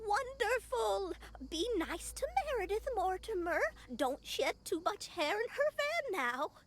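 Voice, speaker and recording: Over light background noise, a female-sounding voice does a put-on character voice at an extremely high pitch, with very wide pitch swings and a fairly slow pace. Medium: video game. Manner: fussy, doting.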